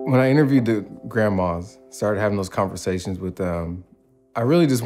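Music can be heard behind the speaker. He is a man. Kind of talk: interview answer. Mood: thoughtful, earnest. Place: home room. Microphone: lapel.

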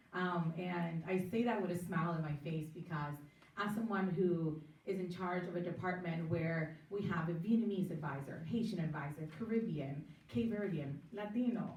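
Against noticeable background noise and audible room echo, a woman speaks at a moderate pace and medium pitch with ordinary pitch variation. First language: not English. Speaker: city council candidate. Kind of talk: political candidate forum.

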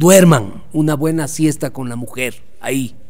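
A man's fairly slow speech, with ordinary pitch variation, comes through against a quiet background. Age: 50s. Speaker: sports journalist. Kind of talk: interview. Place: home room. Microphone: studio mic.

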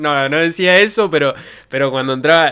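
Faint music plays behind a man speaking with a Rioplatense accent. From Argentina. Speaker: streamer. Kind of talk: casual chat. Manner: animated. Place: home room. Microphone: studio mic.

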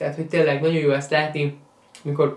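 The voice belongs to a man. Noticeable room echo can be heard around it. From Hungary. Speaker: YouTuber and sneaker event organizer; sneaker youtuber. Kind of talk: vlog-style monologue. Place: home room.

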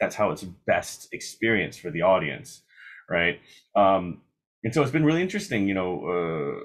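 Very wide pitch swings from a man, fairly low-pitched, at a moderate pace over a quiet background. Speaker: opera singer; interviewee. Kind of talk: interview. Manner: conversational with frequent fillers. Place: home room. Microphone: video call.

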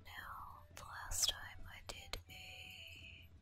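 Someone whispers with music in the background. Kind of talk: ASMR game house tour. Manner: whispered.

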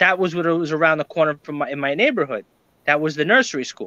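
A man with a high pitch and a New York accent, his tone bright and sharp, in a dry sound with no echo. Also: quiet background. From New York, Brooklyn. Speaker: reseller. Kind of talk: casual chat. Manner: halting. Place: home room. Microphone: webcam.

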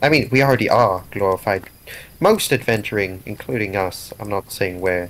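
A man speaks in a normal speaking voice at a moderate pace. His pitch sits fairly low and varies in an ordinary way. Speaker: tabletop game player. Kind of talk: casual chat.

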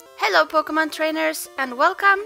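Over music in the background, a woman speaks in a raised, projected voice at an extremely high pitch, with very wide pitch swings. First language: not English. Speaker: let's play gamer. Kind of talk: casual gameplay commentary. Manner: some stuttering.

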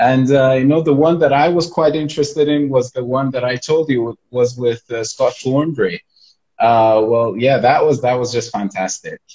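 A man with a dark, mellow, somewhat breathy voice talks at a moderate pace with ordinary pitch variation over a quiet background. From Iran. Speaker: school manager and live host. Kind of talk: casual interview chat. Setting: live video call. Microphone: video call.

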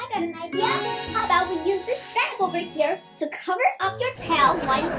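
A cartoonish character voice at an extremely high pitch is set against loud music in the background. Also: moderate pace. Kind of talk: children's puppet show dialogue. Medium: puppet.

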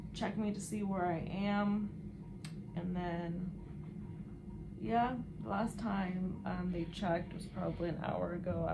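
Noticeable background noise surrounds a woman who talks at a fairly slow pace. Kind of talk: casual vlog chat. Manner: subdued, weary, low-energy talk from bed. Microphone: camera far.

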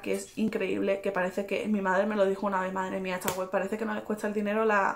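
Against light background noise, a woman speaks with monotone, flat intonation. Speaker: fashion vlogger. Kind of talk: casual vlog chat. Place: home room.

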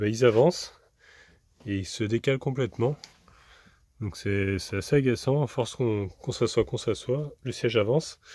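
This man has a medium pitch and a moderate pace, with ordinary pitch variation. His voice carries a slightly husky edge and a slightly mellow tone.

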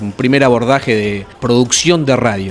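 A man with a Rioplatense accent at a moderate pace, ordinary pitch variation, and faint music in the background. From Argentina, Buenos Aires area; Argentina. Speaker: radio announcer and workshop teacher; radio announcer running a workshop. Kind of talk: interview. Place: hall. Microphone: handheld.

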